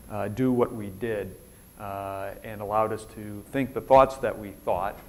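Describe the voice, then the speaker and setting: In a Minnesota accent, a man speaks at a fairly low pitch, with audible room echo. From Minnesota, US Upper Midwest. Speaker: retired military officer, keynote speaker. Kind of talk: conference keynote talk. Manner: fast; casual, conversational with many fillers.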